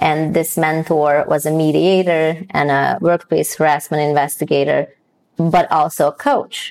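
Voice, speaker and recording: Speaking slowly with a Hungarian accent, a woman has a very deep, low pitch and fairly even intonation at a fairly slow pace. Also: very even loudness. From Hungary. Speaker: DEI consultant and coach. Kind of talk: interview.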